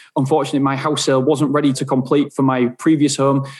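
Pitched fairly high, a man speaks with an English accent in a monotone, flat intonation. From England. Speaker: self storage business owner. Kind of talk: interview.

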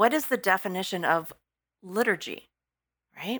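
A woman speaks with an American accent at a moderate pace, her tone bright and sharp. Her intonation is lively, and the recording is very clean with a silent background. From Texas. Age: 50s. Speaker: executive director of an arts organization. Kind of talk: casual interview conversation. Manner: hesitant, filler-heavy.

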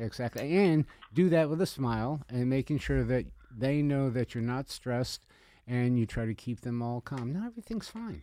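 On a very clean recording with a silent background, a man's dark, mellow tone comes through dry and close with no echo, his pitch varying in an ordinary way. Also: medium pitch for a man, moderate pace. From Italian-American family. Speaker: event planner and catering business owner. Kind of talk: radio interview. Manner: animated.

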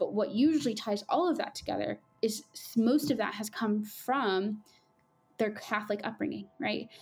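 Over music in the background, a woman with an American accent talks at a moderate pace, her fairly high pitch showing ordinary variation. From Southern California, Coachella Valley. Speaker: journalist. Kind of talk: interview.

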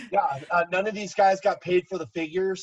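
A man speaks at a fairly quick pace in a dry, close sound with no echo. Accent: American. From Southern California (Garden Grove). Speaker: wrestling figure collector. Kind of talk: casual chat.

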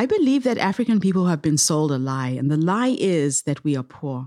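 On a very clean recording with a silent background, a woman with a dark, mellow tone and a very deep, low pitch speaks at a moderate pace, her pitch swinging very widely. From Zimbabwe. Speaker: social entrepreneur and speaker. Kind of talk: interview conversation.

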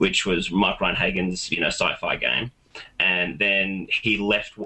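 A man with an Australian accent talks at a moderate pace over noticeable background noise. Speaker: tabletop gaming enthusiast. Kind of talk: casual chat. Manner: halting.

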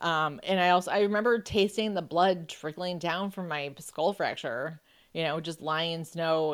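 A woman with an American accent and a plain, everyday voice, fairly low in pitch, at a moderate pace with fairly even intonation on a very clean recording with a silent background. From Buffalo, New York, US. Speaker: author and journalist. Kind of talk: interview conversation.

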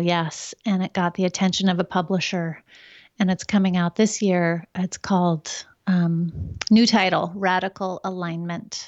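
A woman uses an ordinary speaking voice, medium in pitch, moving at a moderate pace with fairly even intonation. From Oregon, US. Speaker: wellness expert, author and painter. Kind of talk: casual interview chat.

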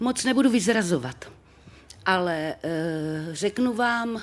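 The pace of this woman's speech is fairly slow. Her pitch varies in an ordinary way. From Czechia, Třebíč (Moravia). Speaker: actress. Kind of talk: live podcast interview. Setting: stage with live audience. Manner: expressive.

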